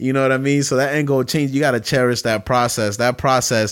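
Speaking with a New York accent, a man keeps his intonation fairly even. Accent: New York City. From Brooklyn, New York. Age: 20s. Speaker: podcast host. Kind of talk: casual chat. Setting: home kitchen.

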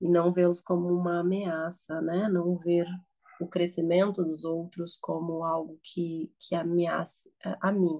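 In a dark, mellow tone and a fairly low pitch, a woman speaks at a very slow pace with monotone, flat intonation. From Nicaragua, raised in Brazil. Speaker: therapist and social scientist. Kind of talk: reflective conversation. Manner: halting.

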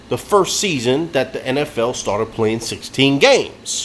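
A man's fairly high-pitched voice at a very slow pace, with noticeable background noise. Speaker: sports podcast host. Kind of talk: casual sports banter.

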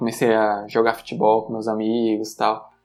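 A man's voice sits at a medium pitch. Behind him, music can be heard. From Brazil, Sergipe (Aracaju). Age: 30s. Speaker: software programmer. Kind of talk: casual interview. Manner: halting, repeats words.

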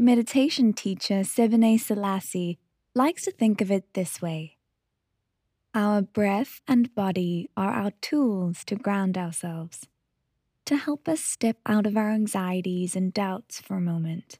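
A woman speaks at a fairly slow pace in a calm, gentle tone, her medium-pitched voice dark and mellow with ordinary pitch variation, recorded dry and close with no echo. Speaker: meditation podcast host. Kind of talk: guided meditation. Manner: calm, slow, soothing; gentle, unhurried, with long pauses.

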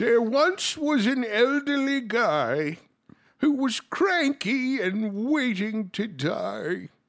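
A man uses a put-on character voice pitched extremely high. He talks very slowly, and his voice is shaky. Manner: cranky.

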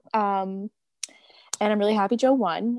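A woman at medium pitch and a moderate pace, with ordinary pitch variation, in a dry, close sound with no echo and a very clean recording on a silent background. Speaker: podcast co-host. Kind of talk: casual chat.

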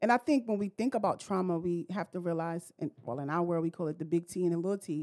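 A woman with a New York accent, fairly low in pitch and dark and mellow in tone, talking at a very fast pace with hardly any pauses, in a dry, close sound with no echo. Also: ordinary pitch variation. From Brooklyn, New York. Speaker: therapist. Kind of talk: casual chat.

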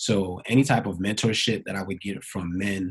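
A man speaks at a moderate pace. His voice is fairly low and somewhat breathy. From Brooklyn, New York. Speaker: dance choreographer and professor. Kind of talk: interview.

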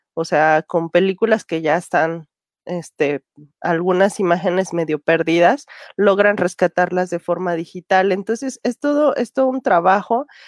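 Dry and close with no echo, a woman's medium-pitched voice moves at a fairly slow pace with lively intonation. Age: 30s. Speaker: film commentator. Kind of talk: casual chat. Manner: halting.

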